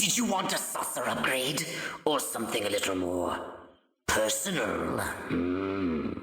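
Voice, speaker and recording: A put-on character voice, low in pitch, at a fairly slow pace with a clear echo. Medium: video game.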